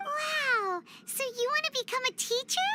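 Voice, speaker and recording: This is a put-on character voice, squeaky and extremely high in pitch. It moves at a moderate pace. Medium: video game. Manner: chatty, expressive.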